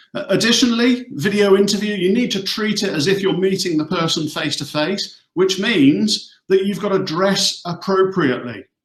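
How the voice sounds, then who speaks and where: Lively intonation carries this voice with a Hampshire accent. The pace is moderate. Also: man. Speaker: recruitment company executive. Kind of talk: career advice webinar. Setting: video call from office.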